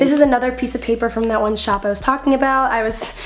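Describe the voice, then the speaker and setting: A woman's speech, ordinary in pitch variation, is heard through noticeable background noise. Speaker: YouTuber. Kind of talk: casual voiceover narration.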